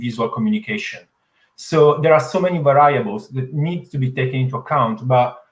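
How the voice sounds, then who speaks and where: With a strong Italian accent, a man talks at a fairly quick pace in a fairly high pitch, his voice somewhat breathy. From Italy. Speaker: digital innovation expert panelist. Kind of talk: panel discussion.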